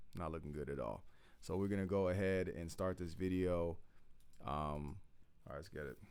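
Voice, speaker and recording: A man's very deep, low voice at a moderate pace, with ordinary pitch variation, long, frequent pauses and audible room echo. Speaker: YouTube commentator. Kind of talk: casual reaction commentary. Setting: at home late at night.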